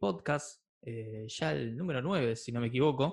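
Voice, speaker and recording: A man speaks in an Argentine accent. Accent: Argentine Spanish (Rioplatense). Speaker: podcast host. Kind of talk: interview.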